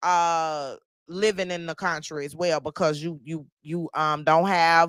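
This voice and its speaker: With a Louisiana accent, a woman speaks very slowly in a fairly low pitch. Her tone is bright and sharp, and the recording is very clean with a silent background. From US South, Shreveport, Louisiana. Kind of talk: sales pitch; casual livestream chat.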